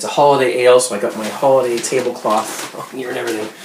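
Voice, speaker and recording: A man races along at a very fast pace, his intonation fairly even, with noticeable background noise behind him. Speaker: home brewing video blogger. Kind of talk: casual video blog. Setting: home kitchen. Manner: quiet, hushed.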